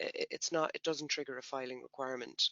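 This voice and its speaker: In an Irish accent, a man speaks with fairly even intonation. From Ireland. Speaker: tax software company presenter. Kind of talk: educational webinar presentation. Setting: online webinar.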